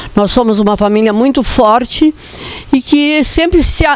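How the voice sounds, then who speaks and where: Through noticeable background noise, a woman speaks at a high pitch and a fairly slow pace with ordinary pitch variation. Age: 70s. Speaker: daughter of an honoured politician. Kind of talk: personal testimony at a commemoration.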